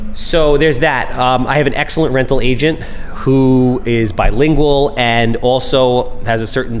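A man with an American accent speaks at medium pitch with ordinary pitch variation. There is noticeable background noise and audible room echo. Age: 40s. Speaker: podcast host, real estate investor. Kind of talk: casual chat.

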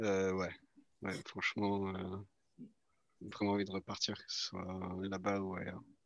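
A man's very deep, low voice, flat and monotone, at a fairly slow pace with long, frequent pauses. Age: 20s. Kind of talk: interview testimony.

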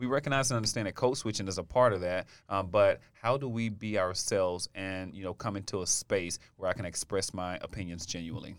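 On a very clean recording with a silent background, a man with a normal speaking voice and an American accent talks at a fairly quick pace and a fairly low pitch, with ordinary pitch variation and hardly any pauses. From US South, Alabama. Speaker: university diversity office director. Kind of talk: casual chat.

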